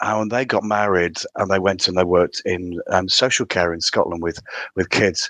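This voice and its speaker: A man speaks at a moderate pace with a strong County Durham accent. His very deep, low voice sounds dry and close, without any echo. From County Durham, northern England. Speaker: theatre director. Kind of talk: casual interview chat.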